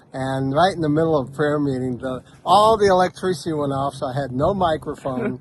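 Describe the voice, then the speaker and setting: A man talks at a fairly quick pace in a fairly high pitch. Noticeable background noise sits behind him. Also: ordinary pitch variation, hardly any pauses. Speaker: missionary preacher. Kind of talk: casual interview.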